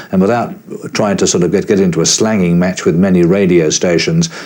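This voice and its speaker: With an Australian accent, a man speaks at a fairly quick pace in a very deep, low pitch. His intonation is monotone and flat, and there is noticeable background noise. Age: 60s. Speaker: veteran broadcaster. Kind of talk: interview.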